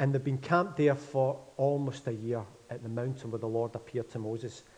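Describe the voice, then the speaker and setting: Speaking at a fairly quick pace in a Glaswegian accent, a man has a somewhat breathy voice at medium pitch with fairly even intonation. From Scotland, Glasgow. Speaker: pastor. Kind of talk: sermon. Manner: mumbling.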